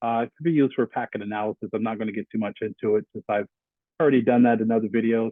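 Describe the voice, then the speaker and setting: A man speaks at a very fast pace with fairly even intonation. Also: medium pitch for a man. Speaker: IT security instructor. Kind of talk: screen-recorded tutorial. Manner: halting, many fillers.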